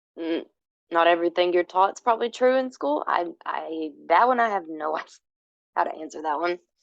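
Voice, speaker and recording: An ordinary speaking voice at a fairly quick pace, with lively intonation. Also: woman, fairly low pitch for a woman. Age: 30s. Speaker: homesteader and social app creator. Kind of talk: casual interview.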